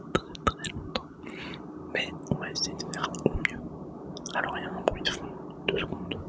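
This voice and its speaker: Amid noticeable background noise, the whispering moves at a moderate pace, broken by long, frequent pauses. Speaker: ASMR creator. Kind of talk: casual talk to camera, ASMR. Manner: casual, conversational.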